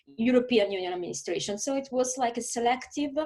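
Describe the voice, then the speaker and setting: There is noticeable background noise as a woman with a fairly high pitch talks in an Italian accent. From southern Italy. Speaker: lawyer and diplomat. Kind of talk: interview. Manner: hesitant, many fillers.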